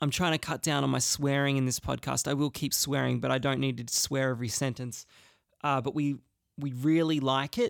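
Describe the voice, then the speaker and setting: In an Australian accent, a man speaks fairly quickly at a medium pitch, with fairly even intonation and very even loudness on a very clean recording with a silent background. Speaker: podcast host and musician. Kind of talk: casual solo podcast monologue. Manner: rambling, hesitant with fillers.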